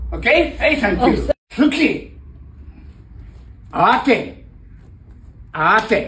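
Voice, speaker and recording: A man talks at a very slow pace with long, frequent pauses, his voice carrying audible room echo over light background noise. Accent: Japanese. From Japan. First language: Japanese. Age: 70s. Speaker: karate master. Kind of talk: martial arts instruction. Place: gym. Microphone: camera far.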